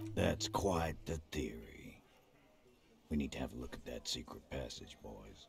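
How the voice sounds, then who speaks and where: This put-on character voice is gravelly, moving at a moderate pace with very wide pitch swings. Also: man, very deep, low pitch for a man. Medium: video game. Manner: skeptical, blunt, curt.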